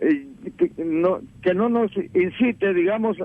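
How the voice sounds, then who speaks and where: A man talks at a fairly slow pace. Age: 70s. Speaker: radio caller. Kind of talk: phone-in opinion call. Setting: phone call.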